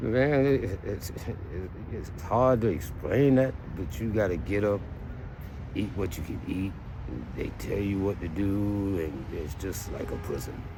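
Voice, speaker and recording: A man talks at a fairly slow pace in a fairly low pitch, with lively intonation and long, frequent pauses. The room echo is audible, and background noise is noticeable. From US South, Myrtle Beach, South Carolina. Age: 60s. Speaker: street interviewee. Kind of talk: street interview.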